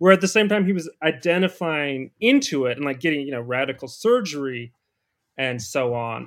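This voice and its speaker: Fairly quick speech from a man with very wide pitch swings, on a very clean recording with a silent background. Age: 30s. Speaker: political commentator. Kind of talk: casual chat.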